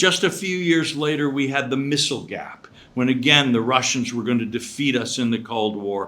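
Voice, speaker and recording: In an American accent, a man speaks at a moderate pace with a medium pitch, a bright, sharp tone, ordinary pitch variation, hardly any pauses and audible room echo. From United States. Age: 70s. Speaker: professor. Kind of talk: lecture.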